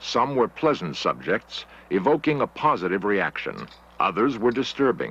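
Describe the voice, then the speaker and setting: Man at a moderate pace with very wide pitch swings and vocal fry, in a dry sound with no echo. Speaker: documentary narrator. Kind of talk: documentary narration.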